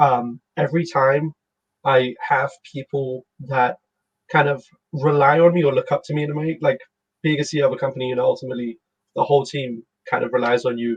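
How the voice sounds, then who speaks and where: A man's somewhat breathy, fairly high voice at a fairly quick pace, with fairly even intonation, long, frequent pauses and a dry, close sound with no echo. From London, England. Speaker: startup CEO. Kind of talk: casual interview.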